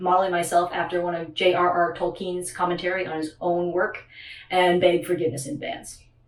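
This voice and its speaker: Someone with an American accent speaks at a moderate pace, with noticeable background noise and audible room echo. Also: woman. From US West Coast, Oakland, California. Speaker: video essayist. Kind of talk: lecture. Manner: many filler words (uh, um).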